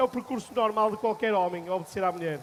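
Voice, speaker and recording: A man with a Portuguese accent speaks at a very fast pace. His pitch is high, with ordinary variation. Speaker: event host. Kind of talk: cooking demonstration.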